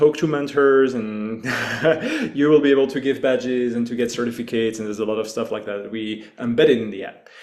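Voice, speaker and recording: A man with a French accent speaks at a moderate pace over noticeable background noise. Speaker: hackathon organizer. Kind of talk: online launch call presentation.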